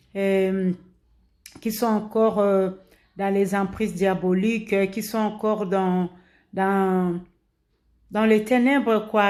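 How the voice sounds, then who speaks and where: A woman with a Congolese accent speaks at medium pitch in a flat monotone, very slowly. The recording is very clean with a silent background. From DR Congo. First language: Lingala (speaking French). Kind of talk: religious exhortation, informal preaching. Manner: halting, many hesitations and repetitions.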